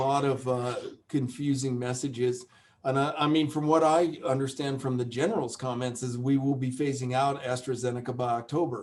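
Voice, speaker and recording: With an American accent, a man speaks fairly quickly at medium pitch in an unremarkable speaking voice, keeping his intonation fairly even. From United States. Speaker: epidemiology professor. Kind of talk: webinar Q&A. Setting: online webinar.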